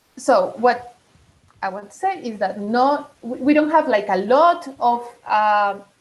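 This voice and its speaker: A woman speaks with a Latin American accent at a high pitch. Her pace is fairly slow. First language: Spanish. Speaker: digital rights advocate. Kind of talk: online meeting presentation. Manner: halting, many fillers.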